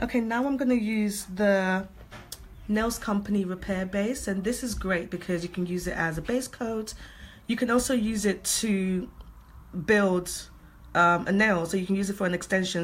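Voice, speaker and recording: Long, frequent pauses break up fairly even intonation in a voice with a British accent. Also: woman. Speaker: nail technician. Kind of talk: tutorial. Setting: livestream from home salon. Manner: soft-spoken.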